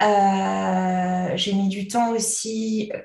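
A woman of medium pitch speaks with fairly even intonation. Noticeable background noise and audible room echo are present. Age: 20s. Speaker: hypnotherapist, mother of two. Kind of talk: personal testimony in interview.

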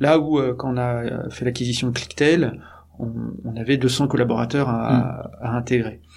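Noticeable background noise and audible room echo surround a man at a medium pitch. He talks at a fairly slow pace with monotone, flat intonation. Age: 40s. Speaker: startup executive. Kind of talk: interview. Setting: company offices. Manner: hesitant with many fillers.

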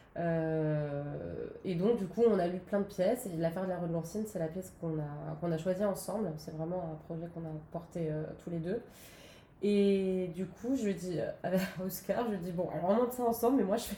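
Audible room echo surrounds a woman speaking at a moderate pace. Her pitch is medium with ordinary variation. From southern France, Nice. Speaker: opera singer and actress. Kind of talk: interview. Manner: halting, many fillers.

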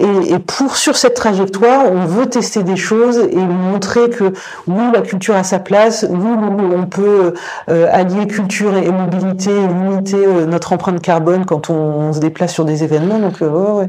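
The voice moves at a moderate pace with ordinary pitch variation. Audible room echo and noticeable background noise are present. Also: woman, medium pitch for a woman. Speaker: cultural project director. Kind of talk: interview. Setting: on location. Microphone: distorted lavalier mic.

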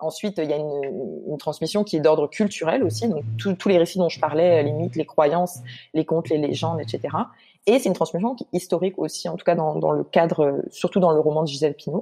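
A woman with a very deep, low pitch at a fairly quick pace and with ordinary pitch variation. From Guadeloupe. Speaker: literature researcher. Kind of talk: casual interview.

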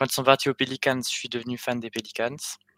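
The man's medium-pitched voice has a bright, sharp tone and a monotone, flat intonation. The sound is dry and close, with no echo. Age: 20s. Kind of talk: casual chat.

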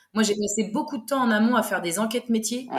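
A woman's voice sits fairly high, with pitch that stays fairly level. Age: 30s. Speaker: food truck owner. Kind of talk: interview. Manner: halting.

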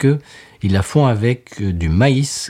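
A somewhat breathy man's voice at a medium pitch, with very wide pitch swings. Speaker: podcast co-host, beer reviewer. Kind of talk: casual chat. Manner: animated.

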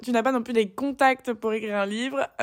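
Animated in tone, a woman speaks at a fairly high pitch. Her pace is moderate. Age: 20s. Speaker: podcaster. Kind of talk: casual monologue. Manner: animated, smiling intonation; hesitant, many fillers.

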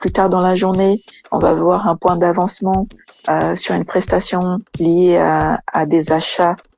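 A woman with a Portuguese accent, at a very slow pace and very even loudness. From Brazil. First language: Portuguese (speaking French). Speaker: engineer. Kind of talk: interview. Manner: halting.

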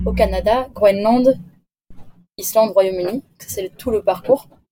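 A woman at a fairly slow pace with ordinary pitch variation, music in the background. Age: 20s. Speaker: engineering graduate, expedition crew member. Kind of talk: interview. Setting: remote call from a moored sailboat.

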